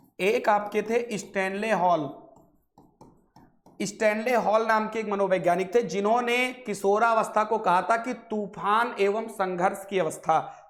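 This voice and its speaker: A man's high pitch with fairly even intonation and audible room echo. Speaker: online exam-prep teacher. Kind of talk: lecture.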